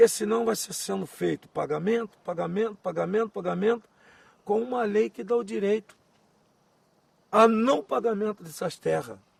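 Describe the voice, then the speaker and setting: A man speaks at a moderate pace with a high pitch. His pitch varies in an ordinary way, and he takes long, frequent pauses. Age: 60s. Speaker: quilombola community elder. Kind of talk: oral history interview. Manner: emphatic, repetitive.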